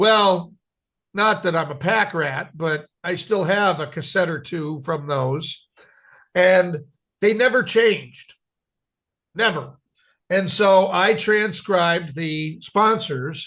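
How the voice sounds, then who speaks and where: Against a quiet background, a man with a high pitch and a bright, sharp tone speaks at a very slow pace with ordinary pitch variation and long, frequent pauses. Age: middle-aged. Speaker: podcast co-host. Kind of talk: casual chat.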